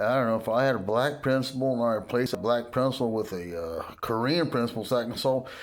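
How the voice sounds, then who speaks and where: A very fast American-accented man's voice, medium in pitch with ordinary variation, plus audible room echo. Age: 60s. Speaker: political commentator vlogger. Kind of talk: casual rant monologue. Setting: home, dark room, no desk. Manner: animated.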